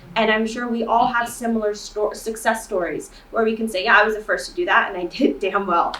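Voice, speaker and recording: Audible room echo surrounds a woman speaking at a moderate pace and fairly high pitch. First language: not English. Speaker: student panelist. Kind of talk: panel discussion.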